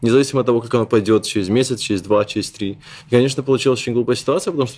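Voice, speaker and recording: The speaker is a man with a medium pitch. His intonation shows ordinary pitch variation. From Belarus, Minsk. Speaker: web publisher and editor. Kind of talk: interview.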